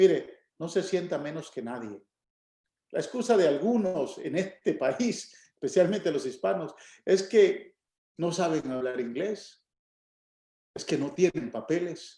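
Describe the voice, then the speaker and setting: A man with a high pitch and a dark, mellow tone speaks at a fairly slow pace with long, frequent pauses. His intonation is lively and his loudness swings widely. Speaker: pastor. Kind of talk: sermon.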